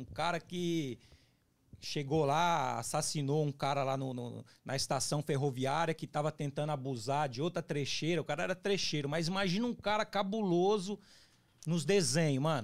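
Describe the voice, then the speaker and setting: A man's fairly high voice at a moderate pace, with ordinary pitch variation and a quiet background. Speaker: former prisoner, YouTuber on resocialization. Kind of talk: casual interview, life story. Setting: studio. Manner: animated. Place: studio. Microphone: studio mic.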